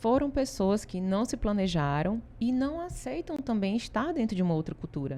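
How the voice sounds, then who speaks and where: With a Ceará accent, a woman speaks at a moderate pace in a dark, mellow tone, her medium pitch making very wide swings. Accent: Ceará Brazilian accent, kept. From Brazil, Ceará. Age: 40s. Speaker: consultancy founder. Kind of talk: interview.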